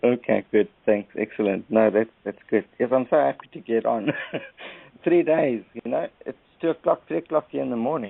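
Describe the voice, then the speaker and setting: At a moderate pace and medium pitch, a man talks in a South African accent. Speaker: caller. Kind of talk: casual chat. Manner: halting.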